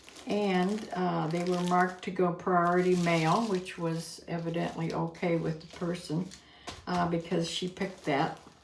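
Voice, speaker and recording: At a fairly low pitch and a fairly slow pace, a woman talks in an American accent with monotone, flat intonation over noticeable background noise. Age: 80s. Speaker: online reseller and YouTube vlogger. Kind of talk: casual talk to camera.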